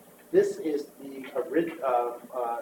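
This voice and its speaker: A man speaks over noticeable background noise. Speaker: art historian, museum presenter. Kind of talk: presentation to a board meeting. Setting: board meeting. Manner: fast.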